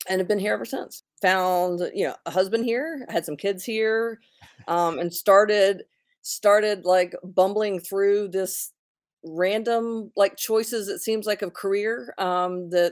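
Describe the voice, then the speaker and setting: A woman with an American accent speaks at a fairly slow pace and medium pitch, with ordinary pitch variation, in a plain, everyday voice. The recording is very clean, with a silent background. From North Carolina (Gastonia/Belmont, Charlotte). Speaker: business owner and church missions director. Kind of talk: casual interview.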